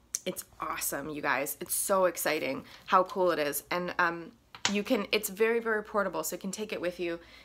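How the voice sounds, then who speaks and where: A woman at a moderate pace, ordinary pitch variation, with noticeable background noise. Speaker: vlogger. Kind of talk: casual vlog chat. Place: kitchen. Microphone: phone near.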